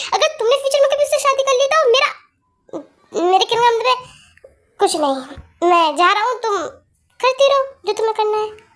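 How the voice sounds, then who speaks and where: A woman's put-on character voice at a fairly quick pace, broken by long, frequent pauses. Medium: read story. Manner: earnest, blunt.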